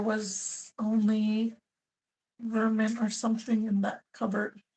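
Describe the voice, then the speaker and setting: Somewhat breathy and fairly high-pitched, a woman talks at a very slow pace over a quiet background. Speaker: YouTuber, live-stream host. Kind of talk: live stream chat, reading comments. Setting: live stream at home computer. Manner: talkative.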